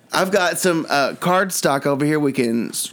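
A man with a fairly high pitch and an animated tone talks at a moderate pace with ordinary pitch variation. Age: 40s. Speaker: comedy podcast host. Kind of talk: comedy sketch chat. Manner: animated, joking.

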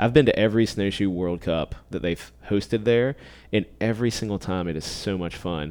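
In a very clean recording with a silent background, a man with an unremarkable speaking voice talks at a moderate pace, his pitch fairly low with ordinary variation. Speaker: cycling podcast host and bike service technician. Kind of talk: casual chat. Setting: bike shop, recording in studio.

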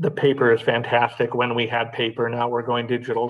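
An unremarkable speaking voice from a man with an American accent, medium pitch and a fairly quick pace. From Los Angeles, California. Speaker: magazine founder and publisher. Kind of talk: interview.

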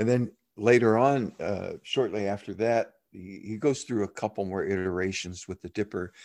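A man speaks at a moderate pace with a fairly low pitch and fairly even intonation. His loudness swings widely against a quiet background. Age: 60s. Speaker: meditation and communication teacher. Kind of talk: dharma talk; guided meditation.

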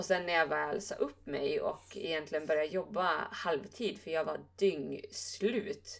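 A woman at a fairly slow pace, with hardly any pauses. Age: 20s. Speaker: yoga teacher and podcast co-host. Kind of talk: casual chat.

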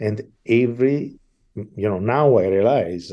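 A man talks with an Italian accent. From Italy, Milan. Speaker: opera conductor. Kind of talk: interview.

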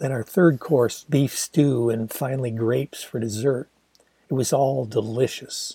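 Dry and close with no echo, a man's somewhat breathy voice has a dark, mellow tone, a medium pitch and fairly even intonation. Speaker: author reading own novel. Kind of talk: literary audiobook reading. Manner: measured, expressive storytelling pace; descriptive, wry, intimate narration.

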